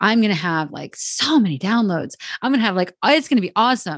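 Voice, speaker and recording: In an American accent, a woman talks at a fairly quick pace with lively intonation against a quiet background. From New Jersey. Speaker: podcast host, LinkedIn marketing coach. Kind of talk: casual interview chat. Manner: fast.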